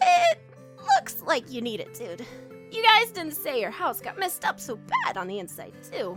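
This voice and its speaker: Over clear music in the background, a put-on character voice speaks at a moderate pace in a high pitch. The pitch swings very widely. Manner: brash, casual.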